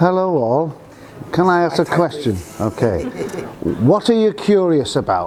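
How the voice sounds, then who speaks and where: Over noticeable background noise, a man with a northern English accent speaks at a high pitch with lively intonation, very even loudness and long, frequent pauses. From northern England. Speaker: university staff member. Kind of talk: informal talk to students. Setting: business breakfast event with audience. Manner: slow.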